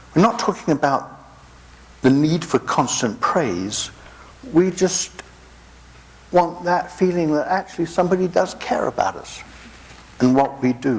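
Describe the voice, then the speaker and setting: A man with a high pitch and an English accent speaks at a fairly slow pace with lively intonation and long, frequent pauses, over noticeable background noise. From England. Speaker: pastor. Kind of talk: sermon.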